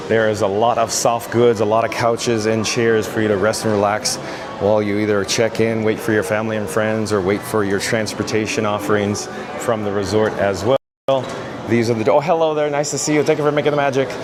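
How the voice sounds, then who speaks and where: A man talks at a fairly quick pace with very even loudness and ordinary pitch variation. Music plays in the background, and the room echo is audible. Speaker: travel vlogger, live streamer. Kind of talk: live walking tour stream with chat reading. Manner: animated.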